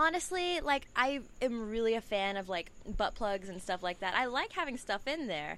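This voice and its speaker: In an American accent, a woman with a fairly high pitch and a bright, sharp tone moves through very wide pitch swings at a moderate pace. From Houston, Texas. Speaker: adult film performer. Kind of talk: casual chat.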